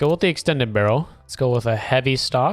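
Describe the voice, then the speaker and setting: The speaker uses an animated tone and moves at a fairly quick pace. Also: man. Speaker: gaming YouTuber. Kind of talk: gameplay commentary; reading patch notes while playing. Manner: casual, animated.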